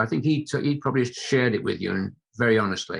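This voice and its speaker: Talking at a very fast pace, a man uses a medium pitch with ordinary variation. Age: 70s. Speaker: sports psychologist. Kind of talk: interview answer.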